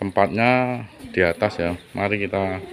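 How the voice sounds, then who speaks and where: A man's fairly low voice at a fairly slow pace, with ordinary pitch variation and light background noise. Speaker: orchid hobbyist vlogger. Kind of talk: casual vlog chat. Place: street. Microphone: phone near.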